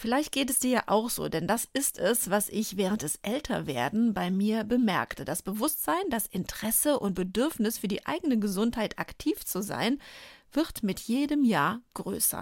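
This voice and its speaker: A woman talks at a moderate pace at a fairly high pitch, her intonation lively, in an ordinary speaking voice. The recording is very clean, with a silent background. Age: 40s. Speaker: pharmacist and podcast host. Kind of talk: scripted narration.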